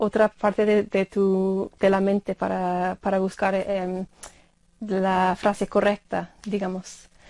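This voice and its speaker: A woman's dark, mellow tone in a monotone, flat intonation. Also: dry, close sound with no echo. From Ireland. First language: English (speaking Spanish). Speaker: university lecturer of Spanish. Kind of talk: interview. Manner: halting, many fillers.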